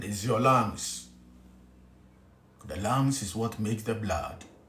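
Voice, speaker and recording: In a Ghanaian accent, a man speaks at a very slow pace with fairly even intonation. The room echo is audible. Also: fairly low pitch for a man. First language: Twi. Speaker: spiritual teacher. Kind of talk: spiritual teaching talk. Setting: hotel room. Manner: whispering.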